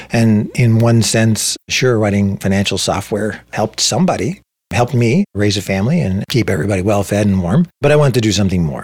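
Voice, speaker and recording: A man with a Canadian accent and an ordinary speaking voice talks at a fairly quick pace in a fairly low pitch. His pitch varies in an ordinary way, and his loudness stays very even. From Ontario, Canada (Saugeen Peninsula First Nation). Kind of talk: interview. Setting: in person, same room.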